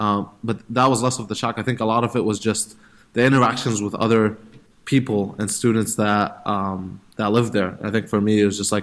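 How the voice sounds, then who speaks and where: Monotone, flat intonation with an Egyptian accent. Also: man, fairly low pitch for a man, fairly quick pace. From Middle East (Egypt, Saudi Arabia, Jordan). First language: Arabic (Egyptian). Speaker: startup founder. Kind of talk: interview. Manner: hesitant, many fillers and repeats.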